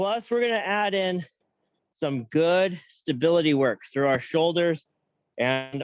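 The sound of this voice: Speaking at a fairly slow pace, a man uses a fairly high pitch with ordinary pitch variation.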